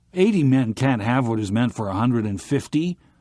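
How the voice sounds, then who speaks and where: In a put-on character voice, a man at medium pitch speaks with lively intonation on a very clean recording with a silent background. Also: fairly quick pace. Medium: read story.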